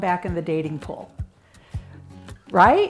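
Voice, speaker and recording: There is noticeable background noise in this clip. The speaker is a woman with a Chicago accent. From US Midwest, Chicago. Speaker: marriage coach. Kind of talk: interview monologue.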